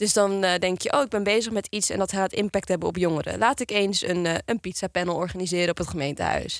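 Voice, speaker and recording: A woman at a medium pitch speaks very fast with hardly any pauses and ordinary pitch variation, in a dry, close sound with no echo on a very clean recording with a silent background. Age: 20s. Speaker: youth organization chair. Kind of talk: podcast conversation. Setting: studio.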